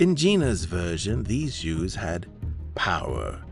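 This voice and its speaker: With music playing in the background, the speaker talks very slowly. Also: man. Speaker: podcast host and story narrator. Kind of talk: horror story narration.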